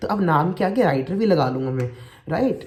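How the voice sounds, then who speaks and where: A man's somewhat breathy voice in a playful, animated tone. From India, Uttar Pradesh (Shikohabad). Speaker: vlogger, kidney transplant recipient, writer. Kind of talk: casual vlog monologue.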